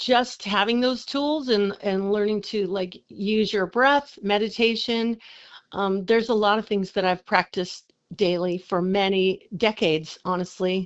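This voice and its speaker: A woman speaks at a fairly slow pace with a medium pitch and ordinary pitch variation. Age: 60s. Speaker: singer-songwriter and entrepreneur, inn owner. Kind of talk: casual interview chat. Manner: animated.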